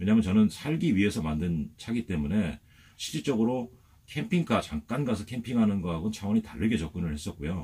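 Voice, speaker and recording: A man's fairly low voice, somewhat breathy, moves through very wide pitch swings. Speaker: motorhome vlogger. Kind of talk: video tour. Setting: inside his motorhome. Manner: hesitant, many fillers.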